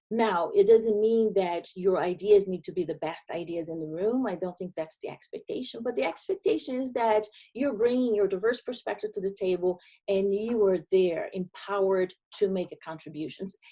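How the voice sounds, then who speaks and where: A woman's medium-pitched, dark, mellow voice with a Brazilian accent, lively intonation and a moderate pace. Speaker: diversity and inclusion consultant. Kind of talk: webinar presentation.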